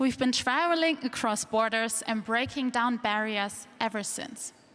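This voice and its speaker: Spoken in a plain, everyday voice, the words come at a fairly slow pace with ordinary pitch variation. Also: woman, fairly high pitch for a woman. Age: 20s. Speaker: cultural strategist and speaker. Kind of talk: conference talk. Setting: stage with audience.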